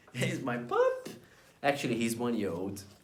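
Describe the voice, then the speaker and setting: In a Portuguese accent, the voice proceeds at a moderate pace over noticeable background noise and audible room echo. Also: man. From Brazil. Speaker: vlogger. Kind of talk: casual talk to camera.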